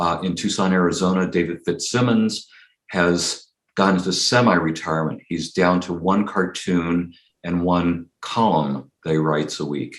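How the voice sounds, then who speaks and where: With a West Coast US accent, a man speaks at a moderate pace in a very deep, low pitch and fairly even intonation. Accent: General American (West Coast). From Los Angeles County, California. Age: 60s. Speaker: political cartoonist. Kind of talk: interview conversation.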